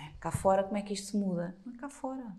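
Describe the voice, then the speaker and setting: A woman's medium-pitched, somewhat breathy voice has a dark, mellow tone and very wide pitch swings. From Portugal. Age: 40s. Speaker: blogger. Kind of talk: casual interview.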